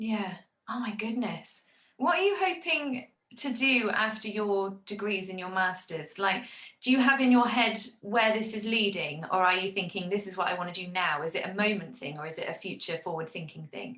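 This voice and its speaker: In a Gloucestershire accent, a woman of medium pitch talks at a moderate pace with lively intonation and big swings in loudness. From Gloucester, England. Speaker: podcast host. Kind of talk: interview. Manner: animated.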